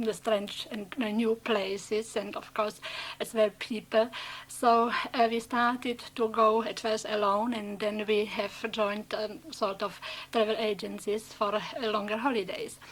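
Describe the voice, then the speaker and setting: A woman's fairly high voice in a Czech accent, fairly even in intonation and fairly slow in pace. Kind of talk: unscripted personal anecdote.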